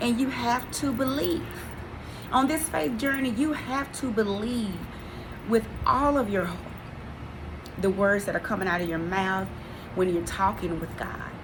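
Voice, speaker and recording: Amid noticeable background noise and audible room echo, a woman talks at a fairly slow pace with lively intonation and long, frequent pauses. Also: fairly high pitch for a woman. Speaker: faith vlogger. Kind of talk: inspirational faith talk. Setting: pre-recorded video. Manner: earnest.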